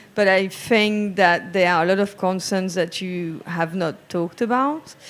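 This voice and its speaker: Her pitch medium and its variation ordinary, a woman talks at a fairly slow pace. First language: not English. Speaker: panelist. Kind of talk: panel discussion.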